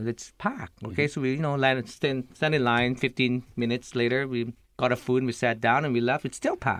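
A very fast pace and fairly even intonation, with a Lao accent. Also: man, medium pitch for a man. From Laos. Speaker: restaurant owner. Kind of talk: radio interview. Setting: studio.

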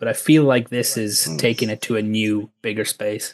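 A man with an Irish accent and fairly even intonation against a quiet background. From Ireland. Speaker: sports journalist. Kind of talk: radio interview.

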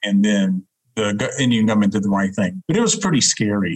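In a Southern US accent, a man with a fairly low pitch talks at a moderate pace with fairly even intonation. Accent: Southern US accent, persisting. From US South, Huntsville, Alabama. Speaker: diplomat. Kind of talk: interview. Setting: video call.

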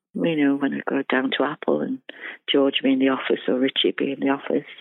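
A woman speaks fairly quickly in a Liverpool accent. Her pitch swings very widely. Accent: Liverpool (Scouse). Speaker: former band secretary and fan club president. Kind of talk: interview.

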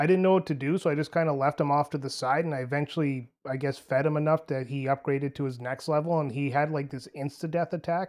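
A man speaks at a very fast pace with hardly any pauses. His fairly high pitch stays in a fairly even intonation. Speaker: gamer guest. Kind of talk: casual chat.

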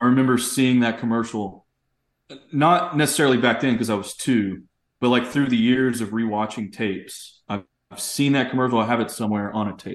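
In a quiet background, a man with an American accent talks at a fairly quick pace in a medium pitch with ordinary pitch variation, an ordinary speaking voice. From East Texas. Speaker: documentary filmmaker. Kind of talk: casual chat.

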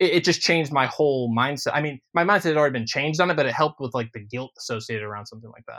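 A man rushes through his words very quickly in a fairly high voice whose pitch varies in an ordinary way. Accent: American. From Ohio. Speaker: musician. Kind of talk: casual chat.

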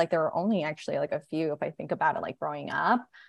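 A woman's fairly low voice with vocal fry, over a quiet background. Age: 30s. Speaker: chief marketing officer of a period care brand. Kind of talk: casual interview.

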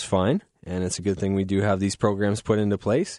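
A man's unremarkable speaking voice with a Canadian accent, fairly low-pitched at a moderate pace, dry and close with no echo over a quiet background. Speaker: radio host. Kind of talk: casual chat. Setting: studio. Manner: relaxed, frequent filler words.

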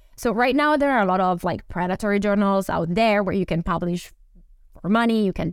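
A woman speaks with an Italian accent and lively intonation at a medium pitch. The recording is very clean, with a silent background. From Italy. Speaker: romance novelist and neuroscientist. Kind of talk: casual chat.

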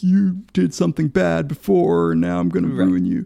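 A man puts on a character voice, very deep and low, going at a moderate pace. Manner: mocking.

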